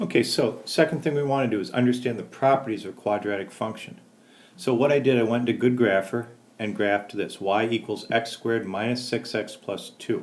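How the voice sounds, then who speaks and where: An unremarkable speaking voice moves at a fairly quick pace. Its pitch varies in an ordinary way. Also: man, medium pitch for a man. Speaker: math teacher. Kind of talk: tutorial.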